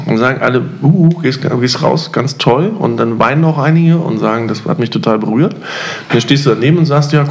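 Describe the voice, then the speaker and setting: Noticeable background noise behind very fast talking and ordinary pitch variation. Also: man. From East Germany. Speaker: podcast host. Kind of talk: casual chat.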